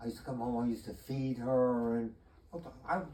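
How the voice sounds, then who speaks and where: There is noticeable background noise. Through it, a man talks at a fairly quick pace. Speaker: retired chemistry teacher. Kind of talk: interview answer.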